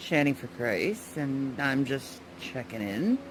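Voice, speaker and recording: Very wide pitch swings mark the way this woman speaks. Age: 30s. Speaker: vlogger. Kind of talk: casual vlog. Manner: halting, repeats words.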